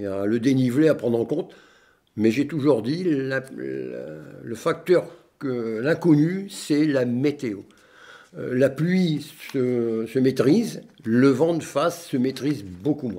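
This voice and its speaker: With long, frequent pauses, a man speaks very slowly in a medium-pitched voice of dark, mellow tone and ordinary pitch variation. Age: 60s. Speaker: retired long-distance cyclist. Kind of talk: interview. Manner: hesitant, many fillers.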